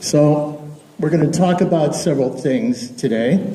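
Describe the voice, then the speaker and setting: His pace is fairly slow. The room echo around the man is audible. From Texas. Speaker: space entrepreneur. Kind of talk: public speech.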